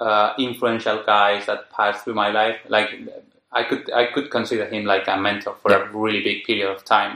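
A bright, sharp tone with monotone, flat intonation and a Spanish accent. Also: man, fairly low pitch for a man, moderate pace. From Spain, Madrid. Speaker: software developer. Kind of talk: casual chat. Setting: in person, face to face. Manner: halting.

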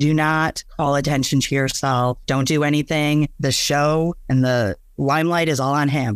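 On a very clean recording with a silent background, a man with an unremarkable speaking voice talks at a fairly slow pace and fairly high pitch, with fairly even intonation, very even loudness and hardly any pauses. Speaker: storyteller about her divorce. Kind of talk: personal story interview.

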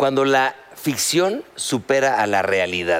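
A man speaks with a Mexican accent over noticeable background noise. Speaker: TV talk show host. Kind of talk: casual chat.

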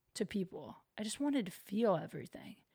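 In a very clean recording with a silent background, a woman with an American accent talks at a fairly quick pace, somewhat breathy and fairly high-pitched, with ordinary pitch variation. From US Midwest. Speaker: comedian and podcast host. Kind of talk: casual chat. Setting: at home, recording alone.

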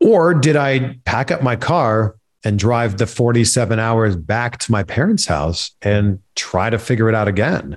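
A man with a Canadian accent has an unremarkable speaking voice, medium pitch and lively intonation, talking at a fairly slow pace with hardly any pauses and very even loudness. The recording is very clean, with a silent background. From Canada. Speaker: TV host and entertainment reporter. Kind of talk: casual chat.

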